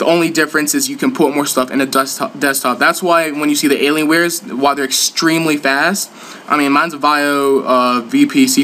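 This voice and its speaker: Against noticeable background noise, a man with a fairly high pitch talks fairly quickly. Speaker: gaming YouTuber. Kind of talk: tutorial. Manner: fast.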